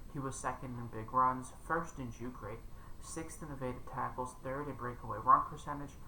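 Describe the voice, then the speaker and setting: Quiet, with big swings in loudness, a man's medium-pitched voice moves at a moderate pace with fairly even intonation amid audible room echo. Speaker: fantasy football content creator. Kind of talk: casual commentary monologue.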